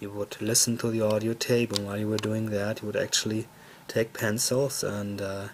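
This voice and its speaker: Someone speaks at a moderate pace with monotone, flat intonation. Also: man, fairly low pitch for a man. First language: German. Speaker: toy collector video host. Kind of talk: casual show-and-tell tour. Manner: halting with fillers.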